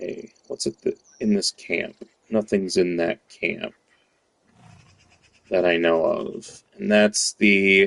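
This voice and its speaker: An American-accented man speaks at a very slow pace with long, frequent pauses, in a dry, close sound with no echo. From United States. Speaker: gaming streamer. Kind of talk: gameplay commentary. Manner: casual, with many fillers.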